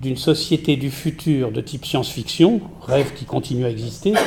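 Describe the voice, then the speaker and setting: A man speaks at a moderate pace in a fairly high pitch. Noticeable background noise runs behind him. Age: 60s. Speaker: art curator and critic. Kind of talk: panel discussion. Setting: round table with audience.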